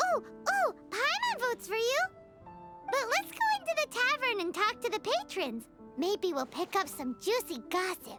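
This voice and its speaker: Over clear music in the background, a squeaky, female-sounding cartoonish character voice speaks at an extremely high pitch and a moderate pace, with very wide pitch swings. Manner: bubbly, speaks of herself in third person.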